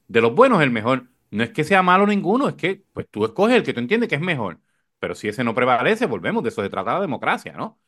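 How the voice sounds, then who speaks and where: A man talks very fast in a fairly high voice, his pitch swinging very widely and his tone dropping into vocal fry, over a quiet background. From Puerto Rico. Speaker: podcast host, communicator. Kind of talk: casual political chat.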